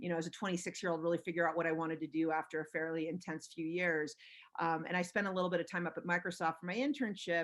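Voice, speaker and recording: Very fast speech comes from a woman with an American accent. Her intonation is fairly even, and the background is quiet. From Los Angeles, US. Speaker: venture capitalist. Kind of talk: interview. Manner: many fillers and restarts.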